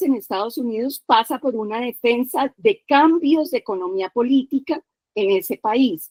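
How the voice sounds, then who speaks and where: The delivery is fairly slow, with lively intonation. The sound is dry and close, with no echo. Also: woman. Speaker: participant in a feminist discussion session. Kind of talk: panel discussion. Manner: animated.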